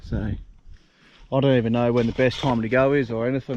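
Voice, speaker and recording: In a strong Australian accent, the voice has a relaxed tone and monotone, flat intonation, heard in a dry, close sound with no echo. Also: man. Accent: broad Australian. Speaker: travel vlogger. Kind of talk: casual vlog narration. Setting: outdoors.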